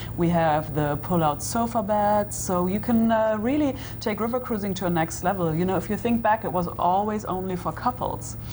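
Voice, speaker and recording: A woman with a German accent, medium in pitch with ordinary pitch variation, at a moderate pace with hardly any pauses, amid audible room echo and noticeable background noise. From Germany. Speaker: tour guide. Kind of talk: interview.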